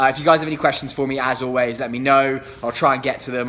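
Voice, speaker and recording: Very fast speech from a man, in monotone, flat intonation. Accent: London. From England. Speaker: real estate agent. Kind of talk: live Q&A stream. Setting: livestream.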